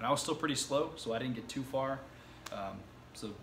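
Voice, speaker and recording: Light background noise runs under a man's voice. His intonation stays fairly even. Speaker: self-taught web developer vlogger. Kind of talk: casual vlog chat. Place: home room. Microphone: camera far.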